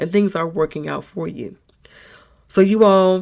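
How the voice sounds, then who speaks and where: A woman speaks at a fairly slow pace with a fairly low pitch. Her voice carries vocal fry. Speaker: podcast host. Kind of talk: motivational monologue. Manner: casual, conversational.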